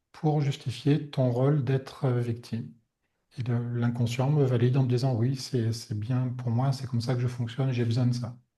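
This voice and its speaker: A soft-spoken man talks at medium pitch with a dark, mellow, calm tone. He is somewhat breathy, and his intonation is fairly even. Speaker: energy healer. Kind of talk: webinar talk. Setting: online webinar. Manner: soft-spoken, calm; hesitant, many fillers.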